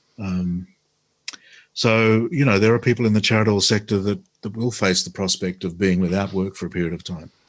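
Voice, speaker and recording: With an Australian accent, a man speaks at a fairly quick pace in a fairly low pitch and fairly even intonation, on a very clean recording with a silent background. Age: 60s. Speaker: former politician and radio host. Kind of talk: interview.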